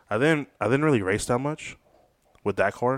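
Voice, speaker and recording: The recording is dry and close, with no echo. A man talks at a moderate speed. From San Diego, California. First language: Spanish. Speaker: photographer. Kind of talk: casual chat.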